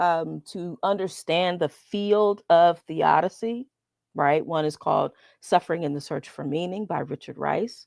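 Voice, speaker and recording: With a normal speaking voice, a woman talks at a fairly slow pace in a fairly low pitch with ordinary pitch variation, the sound dry and close with no echo and the background quiet. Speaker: professor. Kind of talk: lecture.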